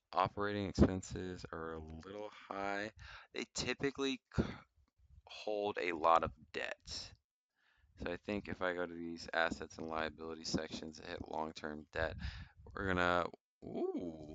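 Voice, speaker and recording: A man with an American accent, very deep and low in pitch, fairly slow with long, frequent pauses, ordinary pitch variation and big swings in loudness. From Atlanta, US South. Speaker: stock investing youtuber. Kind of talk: casual screen-share tutorial. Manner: hesitant with many fillers.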